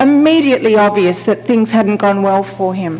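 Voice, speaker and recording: A woman with an Australian accent speaks at a moderate pace, with audible room echo and noticeable background noise. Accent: Australian twang. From Australia, Sydney. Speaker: palliative care physician. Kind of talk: keynote lecture. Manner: hesitant fillers.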